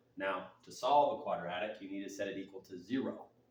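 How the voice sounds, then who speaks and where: This man talks at a fairly quick pace. The room adds audible echo. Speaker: math teacher. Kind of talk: tutorial. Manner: fast.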